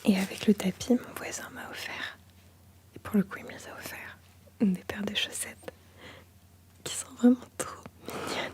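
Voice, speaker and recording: A woman whispers at a fairly slow pace, with long, frequent pauses and big swings in loudness. Noticeable background noise sits behind her. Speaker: ASMR artist. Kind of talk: ASMR show-and-tell talk to camera. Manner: soft-spoken.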